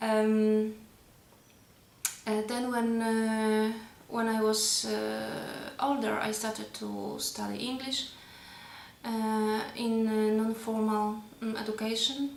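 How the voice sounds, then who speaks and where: Amid noticeable background noise and audible room echo, a woman with a Polish accent speaks very slowly at a fairly high pitch in a monotone, flat intonation, with long, frequent pauses. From Poland. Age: 30s. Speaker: language learner. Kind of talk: personal monologue. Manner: halting, many fillers.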